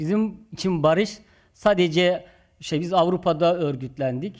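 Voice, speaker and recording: Against complete silence in a very clean recording, a man talks fairly slowly. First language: Zazaki (Kirmanjki) (speaking Turkish). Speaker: community organization leader. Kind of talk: conference speech.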